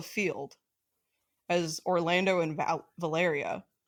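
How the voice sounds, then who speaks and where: A woman with a slight Southern US accent speaks at a fairly low pitch in a very clean recording with a silent background. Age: 20s. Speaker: podcast co-host. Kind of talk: casual chat.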